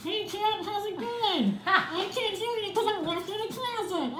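A put-on character voice at an extremely high pitch goes at a moderate pace. There is a slight echo and loud background noise. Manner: ventriloquist-like, jokey.

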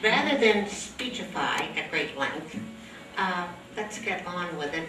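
With noticeable background noise behind her, a woman speaks at a fairly slow pace in a fairly low voice with ordinary pitch variation. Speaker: event host. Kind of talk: event announcement. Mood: warm, cheerful. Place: hall.

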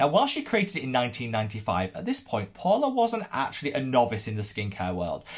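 Somewhat breathy, a man talks at a fairly quick pace with lively intonation over a quiet background. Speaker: skincare youtuber. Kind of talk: casual vlog commentary. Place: home room.

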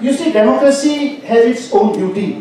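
A man talks at a fairly quick pace with ordinary pitch variation. Strong room echo and light background noise are present. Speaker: guest. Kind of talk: Q&A answer. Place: hall.

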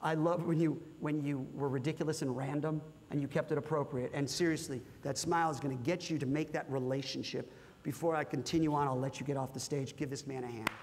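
In an American accent, a man with a fairly high pitch speaks at a very fast pace, with light background noise behind him. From California. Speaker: corporate workshop presenter. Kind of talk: interactive workshop talk with audience. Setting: stage with live audience. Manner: animated. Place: hall. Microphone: lapel.

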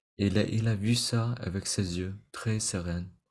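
A man speaks in a fairly low, somewhat breathy voice. His intonation stays fairly even against a quiet background. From Vietnamese immigrant family. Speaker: meditation teacher. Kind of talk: lecture. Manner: halting. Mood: calm, gentle. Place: home room.

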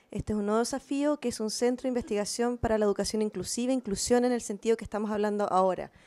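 A woman is speaking. Her tone is dark and mellow. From Chile, Valparaíso; Chile. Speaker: researcher; presenter. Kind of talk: conference talk. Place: meeting room. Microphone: handheld.

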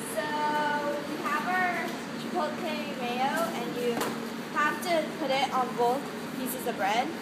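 A woman is speaking. Loud noise fills the background behind her. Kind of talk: tutorial. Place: kitchen. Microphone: phone near.

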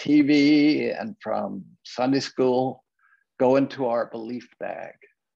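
A man's dark, mellow tone over a quiet background. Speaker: minister. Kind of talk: reading a story in an online service. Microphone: webcam.

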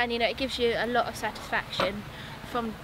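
The sound is dry with no echo, though noticeable background noise is present, as a woman speaks at a high pitch and a fairly quick pace. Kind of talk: interview answer. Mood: warm, fond. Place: farm machine.

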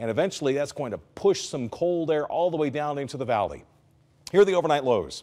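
A man with a fairly high pitch speaks with lively intonation. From Southern California. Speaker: TV meteorologist. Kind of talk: TV weather forecast. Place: studio.

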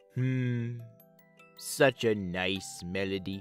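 A put-on character voice is heard over faint music in the background. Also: man, fairly low pitch for a man. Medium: dub.

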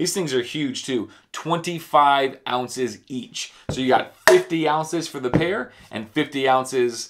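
A man speaks fairly slowly, his pitch varying in an ordinary way. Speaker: travel vlogger. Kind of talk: casual vlog tutorial. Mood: jokey, relaxed. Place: home room.

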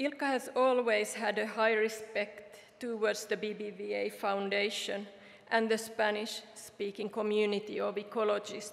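At a fairly slow pace, a woman talks with vocal fry and monotone, flat intonation. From Finland. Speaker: award recipient's widow; speaker. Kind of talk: prepared speech. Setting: award ceremony. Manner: formal. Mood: solemn, grateful. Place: hall. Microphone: podium.

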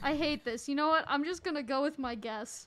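Her pitch high with ordinary variation, a woman speaks at a moderate pace. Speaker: gaming livestreamer. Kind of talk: casual gaming livestream chat. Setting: online voice chat while streaming. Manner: animated.

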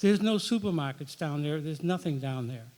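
A man speaks in a dark, mellow tone. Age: 70s. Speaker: town meeting member. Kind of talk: public meeting speech. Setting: town meeting in high school hall.

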